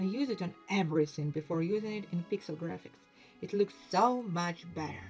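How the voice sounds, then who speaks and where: Music plays in the background. A woman speaks at a moderate pace with a fairly low pitch. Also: ordinary pitch variation. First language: non-native English speaker. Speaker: indie game developer. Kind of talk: casual talk over screen recording.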